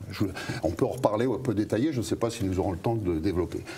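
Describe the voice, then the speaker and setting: This man speaks in a dark, mellow tone that is somewhat breathy. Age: 60s. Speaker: pharmacist and author, whistleblower. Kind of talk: interview. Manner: hesitant, many fillers and repetitions.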